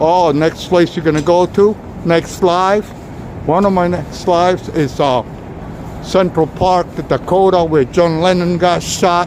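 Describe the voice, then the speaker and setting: Amid noticeable background noise, a man with a New York accent speaks fairly slowly at a high pitch, keeping his intonation fairly even. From New York City. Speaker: walking tour live streamer. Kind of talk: live stream walking tour. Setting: outdoors on city streets. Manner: casual, chatty.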